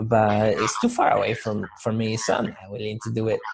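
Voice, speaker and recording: A man with a Spanish accent, medium pitch, somewhat breathy delivery and moderate pace. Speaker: motivational speaker. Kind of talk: interview.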